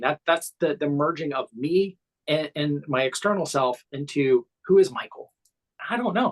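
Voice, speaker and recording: A man with an American accent speaks at a fairly high pitch, his lively intonation caught in a dry, close recording with no echo. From US Midwest. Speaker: cognitive psychotherapist. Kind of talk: casual chat. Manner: halting, many repeated words.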